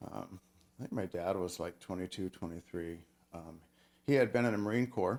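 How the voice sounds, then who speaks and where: With an American accent, a man speaks at a very deep, low pitch, using ordinary pitch variation, big swings in loudness, and long, frequent pauses. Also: fairly quick pace. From Oregon. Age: 60s. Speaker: tech worker and author. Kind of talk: interview.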